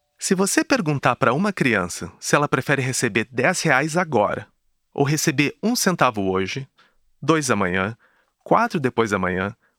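A man's medium-pitched voice, bright and sharp in tone, with very wide pitch swings at a moderate pace, dry and close with no echo on a very clean recording with a silent background. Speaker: podcast host. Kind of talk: scripted narration.

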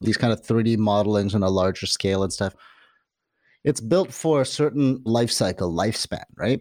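On a very clean recording with a silent background, a man with an unremarkable speaking voice talks at a medium pitch and a moderate pace, with ordinary pitch variation. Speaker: podcast host. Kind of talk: casual interview.

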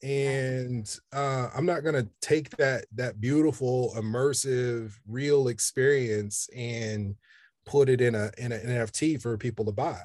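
Against a quiet background, someone with an American accent talks fairly slowly with fairly even intonation. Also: man, medium pitch for a man. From Kansas City, Kansas, US Midwest. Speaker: photographer. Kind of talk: interview. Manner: hesitant, with fillers.

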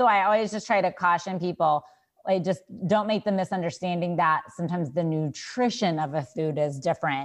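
A plain, everyday voice with an American accent moves at a fairly quick pace with ordinary pitch variation. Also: woman, fairly low pitch for a woman. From Texas. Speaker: dietitian. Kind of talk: interview.

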